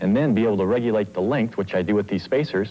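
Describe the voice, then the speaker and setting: A man speaks with a dark, mellow tone at a fairly low pitch, his pitch varying in an ordinary way. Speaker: inventor. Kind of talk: interview answer. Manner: hesitant, casual.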